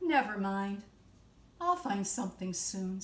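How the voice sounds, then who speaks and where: A woman uses a put-on character voice at medium pitch, speaking at a fairly slow pace. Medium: read story. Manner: eager, cheerful.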